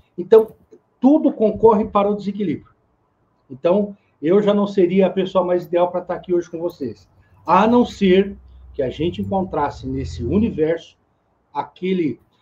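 A man with a dark, mellow tone speaks at a high pitch, leaving long, frequent pauses. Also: ordinary pitch variation, moderate pace. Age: 50s. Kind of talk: casual chat.

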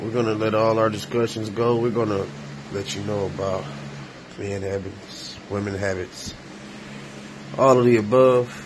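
Over noticeable background noise, a man with an American accent speaks at a fairly low pitch and a moderate pace, with fairly even intonation and long, frequent pauses. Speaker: podcast host. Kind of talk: casual chat.

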